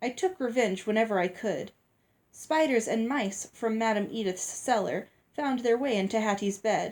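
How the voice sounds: Here a natural reading voice is heard. Its pitch moves in an ordinary range.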